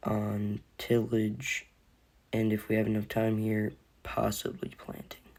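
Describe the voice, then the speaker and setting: The voice is quiet. The pace is fairly slow. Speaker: gaming video creator. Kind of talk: gameplay commentary.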